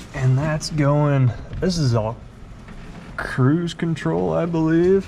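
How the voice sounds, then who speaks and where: Ordinary pitch variation colors a man's speech, heard with audible room echo. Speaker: car restoration youtuber. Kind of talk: casual garage tutorial. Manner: slow, tentative.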